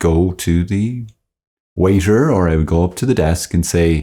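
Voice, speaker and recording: In an Irish accent, a man with a very deep, low pitch and a dark, mellow tone speaks at a moderate pace with lively intonation, recorded very cleanly against a silent background. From Ireland. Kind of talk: informal religious talk. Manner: animated.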